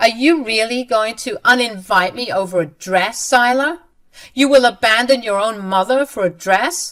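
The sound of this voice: In a put-on character voice, a female-sounding speaker talks at a moderate pace, raised and projected, fairly high-pitched and shaky.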